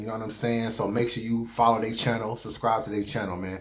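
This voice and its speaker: Room echo is audible around this man's voice. He talks at a medium pitch. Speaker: battle rap reviewer. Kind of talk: casual vlog commentary. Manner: relaxed, conversational.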